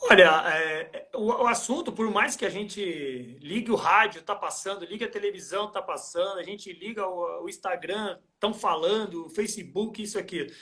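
A man with a high pitch uses a raised, projected voice, talking at a moderate pace with ordinary pitch variation and hardly any pauses. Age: 40s. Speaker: trail running athlete and coach. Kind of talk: casual interview on a live stream. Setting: Instagram live video call.

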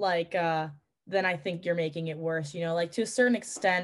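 This is a woman with a New York accent. The background is quiet. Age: 20s. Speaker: pilot and flight instructor. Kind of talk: casual chat.

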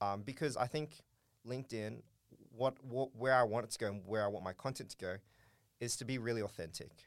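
Speaking with an Australian accent, a man keeps a fairly quick pace at medium pitch. His speech has long, frequent pauses. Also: ordinary pitch variation, very clean recording, silent background. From Australia, Darwin (Northern Territory). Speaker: startup co-founder. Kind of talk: interview.

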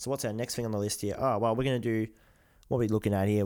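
Very clean recording, silent background, and an Australian accent. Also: man. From Australia, Melbourne. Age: 20s. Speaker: podcast co-host, football shirt collector. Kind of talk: casual chat.

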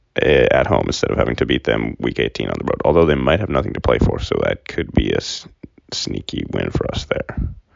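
A man talks quietly with an American accent. His pace is fairly quick. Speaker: sports podcast host. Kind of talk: casual solo sports talk. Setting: recording at home. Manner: quiet, low-key voice; casual with many fillers.

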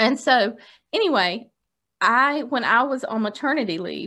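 A woman talks with lively intonation and a bright, sharp tone. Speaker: podcast co-host. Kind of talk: casual chat. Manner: playful.

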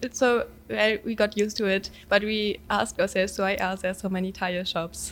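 A woman speaks with a German accent at a medium pitch and a moderate pace. Her intonation is monotone and flat, with hardly any pauses. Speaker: exchange student. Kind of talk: casual chat interview.

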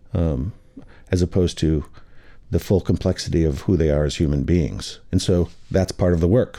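A man with an American accent talks in a very deep, low voice with vocal fry. His pace is moderate, his loudness very even, and his pitch variation ordinary. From Michigan. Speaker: restaurateur and scholar. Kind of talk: casual chat. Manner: halting.

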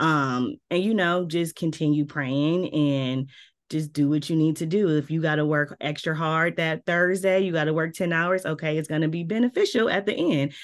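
A woman's very deep, low voice in a slight Southern US accent, animated in tone with ordinary pitch variation and hardly any pauses, over a quiet background. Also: moderate pace, very even loudness. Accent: slight Southern twang at times. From Milwaukee, US Midwest. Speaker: PR and communications director. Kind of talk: interview.

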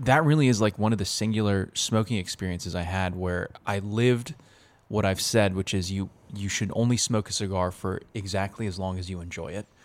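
A man with a normal speaking voice and fairly low pitch speaks at a moderate pace with ordinary pitch variation on a very clean recording with a silent background. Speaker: coffee expert guest. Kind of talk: casual explanatory chat.

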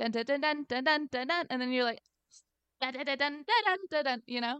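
With a high pitch and lively intonation, a woman talks at a fairly quick pace in an animated tone, the sound dry and close with no echo. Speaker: podcast co-host. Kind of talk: casual chat. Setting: remote recording over internet audio. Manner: animated, high peaks.

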